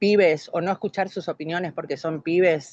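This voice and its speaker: A woman with an ordinary speaking voice talks at a fairly slow pace, her fairly low pitch moving with ordinary variation, in a dry, close sound with no echo over a quiet background. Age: 60s. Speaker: course participant. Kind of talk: online class discussion.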